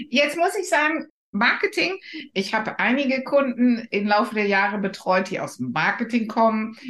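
Speaking at a moderate pace, a woman with a non-native accent has a fairly high pitch. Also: lively intonation. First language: not German (speaking German). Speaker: podcast host and career coach. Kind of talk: interview. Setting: podcast studio.

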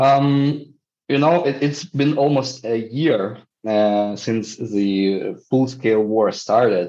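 Speaking very slowly at a medium pitch, a man with a dark, mellow tone keeps his loudness very even and his pitch variation ordinary. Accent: Ukrainian. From Ukraine. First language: Ukrainian. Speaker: social entrepreneurship professor and NGO founder. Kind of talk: interview. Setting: video call. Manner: halting, frequent repetitions.

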